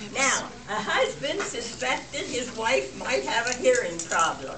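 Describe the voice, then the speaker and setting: Very slow speech over noticeable background noise. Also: woman. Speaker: birthday guest of honor telling jokes. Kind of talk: joke telling to family. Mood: playful, lighthearted. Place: hall. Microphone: camera far.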